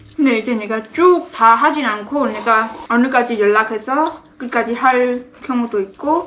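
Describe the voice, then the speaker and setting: Noticeable background noise sits behind a woman with a fairly high voice. She speaks fairly slowly with ordinary pitch variation. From Cambodia. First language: Khmer (speaking Korean). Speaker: vlogger, TV coordinator. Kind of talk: phone call; casual chat.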